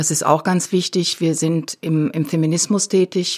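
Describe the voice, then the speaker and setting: A normal speaking voice from a woman, moderate in pace and fairly low in pitch. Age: 60s. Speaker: retired political activist. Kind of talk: interview. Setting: studio.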